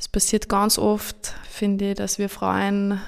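The recording is very clean with a silent background. A woman speaks at a medium pitch. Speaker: youth ministry worker and tailor. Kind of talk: panel discussion.

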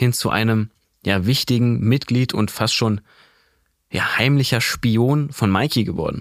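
The recording is very clean with a silent background and a dry, close sound with no echo, and the speech has a moderate pace and fairly even intonation. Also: man. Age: 20s. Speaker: manga podcast co-host. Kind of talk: casual chat. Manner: hesitant with fillers.

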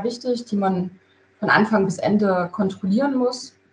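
The woman's voice sounds somewhat breathy. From Thuringia, Gera (eastern Germany). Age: 30s. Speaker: construction project manager. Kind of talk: interview. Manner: hesitant, many filler sounds.

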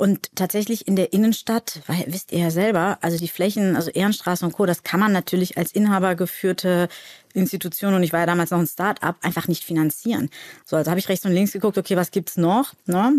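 Here a woman has an ordinary speaking voice at a medium pitch, with fairly even intonation and a fairly quick pace. The recording is very clean, with a silent background and a dry, close sound with no echo. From Cologne, Germany. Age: 40s. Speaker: actress and shop owner. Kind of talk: casual chat. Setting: studio.

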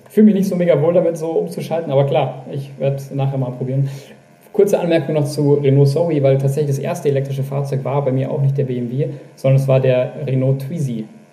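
Over noticeable background noise and audible room echo, a man rattles along at a very fast pace, his fairly high voice fairly even in intonation but swinging widely in loudness. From Upper Bavaria, Germany. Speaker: magazine editor-in-chief. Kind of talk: casual chat. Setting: video call.

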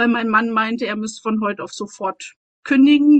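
A woman with a fairly high pitch talks at a moderate pace, her intonation fairly even. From East Germany. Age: 40s. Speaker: mentor. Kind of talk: personal testimony. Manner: halting.

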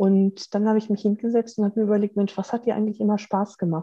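A dark, mellow, somewhat breathy tone in a dry, close sound with no echo. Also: woman. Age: 50s. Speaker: mechanical engineer and coach. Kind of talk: interview.

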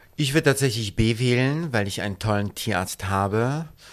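A man's normal speaking voice at medium pitch, on a very clean recording with a silent background. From Poland. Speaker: fashion designer. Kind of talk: casual interview. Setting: his shop and studio.

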